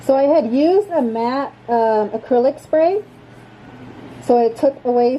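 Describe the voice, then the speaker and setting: Noticeable background noise is present. A woman talks through it. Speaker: crafting YouTuber. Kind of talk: tutorial. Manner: casual.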